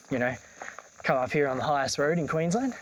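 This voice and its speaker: A man talks with a fairly high pitch and ordinary pitch variation. Noticeable background noise runs through the clip. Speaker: travel vlogger. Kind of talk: casual vlog narration. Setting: outdoors. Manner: casual with many fillers.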